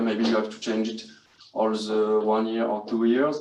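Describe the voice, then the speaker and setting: A man speaks with a French accent. There is noticeable background noise and audible room echo. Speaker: hospitality student. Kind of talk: guided tour. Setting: hotel room. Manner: halting.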